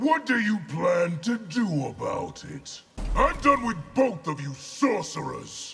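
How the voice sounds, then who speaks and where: A man does a put-on character voice at a high pitch, speaking at a fairly slow pace. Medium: machinima. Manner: curt, contemptuous.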